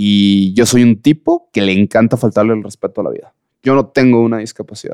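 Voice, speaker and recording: A man's medium-pitched voice with a dark, mellow tone and fairly even intonation. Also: fairly quick pace. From Mexico. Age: 30s. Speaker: blind mountaineer and ultra-endurance athlete. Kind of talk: casual interview.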